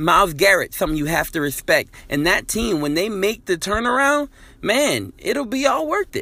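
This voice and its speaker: A man projects a raised voice at a high pitch, his tone bright and sharp. He keeps a moderate pace while his pitch swings very widely. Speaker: podcast host and sports commentator. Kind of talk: casual sports talk, recorded message.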